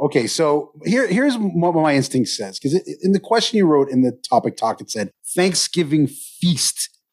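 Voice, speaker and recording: Very wide pitch swings and vocal fry mark this man's voice, recorded with a dry, close sound and no echo. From Canada. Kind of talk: casual chat.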